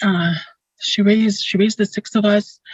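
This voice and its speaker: Somewhat breathy and medium in pitch, a woman's voice comes through dry and close with no echo. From Dakota First Nation community, Manitoba, Canada. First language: Dakota. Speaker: school board member. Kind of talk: opening blessing speech. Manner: halting.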